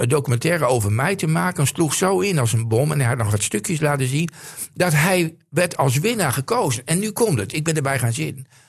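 A man speaks with lively intonation at a moderate pace, his voice fairly high and somewhat breathy. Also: very even loudness. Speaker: football pundit. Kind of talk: casual chat. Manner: halting.

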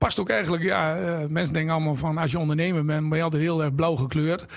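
In a normal speaking voice, a man with a fairly high pitch talks with fairly even intonation. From Drenthe, Netherlands (Exloo). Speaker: entrepreneur, shoe shop owner. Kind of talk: casual interview.

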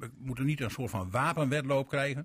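The voice moves at a fairly quick pace, somewhat breathy, with ordinary pitch variation. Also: man. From Veenkoloniën, Groningen/Drenthe. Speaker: former party chair, radio panelist. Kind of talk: radio panel discussion.

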